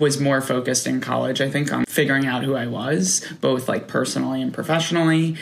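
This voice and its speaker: A man with an American accent talks at a medium pitch as noticeable background noise goes on. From New York, outside Manhattan. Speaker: marketer and brand founder. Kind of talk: casual chat.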